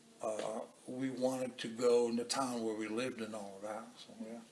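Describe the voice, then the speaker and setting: A man at medium pitch and a fairly slow pace, with audible room echo and music in the background. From Cuba. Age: 70s. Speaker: interviewee. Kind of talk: casual interview. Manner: halting, repetitive.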